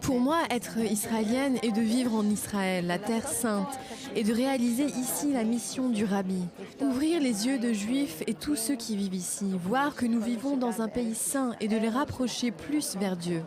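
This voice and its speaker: The speaker has a New York accent and very even loudness. Music plays in the background. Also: woman, fairly high pitch for a woman, ordinary pitch variation, fairly slow pace. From USA, New York. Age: 60s. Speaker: religious community organizer. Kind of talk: interview testimony.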